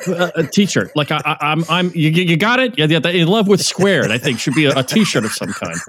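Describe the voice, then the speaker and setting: Talking at a fairly quick pace with hardly any pauses, a man uses a high pitch and lively intonation amid noticeable background noise. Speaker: podcast guest, former broadcaster. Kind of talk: casual interview chat.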